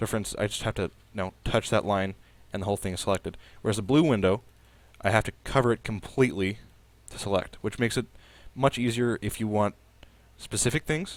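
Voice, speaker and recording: A man's fairly low voice at a very fast pace, broken by long, frequent pauses, with ordinary pitch variation and a very clean recording on a silent background. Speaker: student. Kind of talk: casual screencast software demo.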